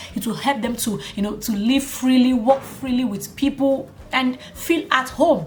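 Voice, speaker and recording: Spoken at a fairly slow pace, the voice sounds animated, with ordinary pitch variation and noticeable background noise. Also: woman, high pitch for a woman. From Nigeria. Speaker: YouTube vlogger. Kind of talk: casual vlog monologue. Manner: animated, conversational.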